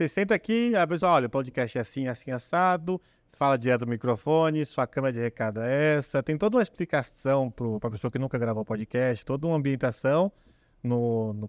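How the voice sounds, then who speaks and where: A man with a medium pitch and lively intonation talks at a fairly quick pace, the sound dry and close with no echo against a quiet background. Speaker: podcast producer. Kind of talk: casual chat.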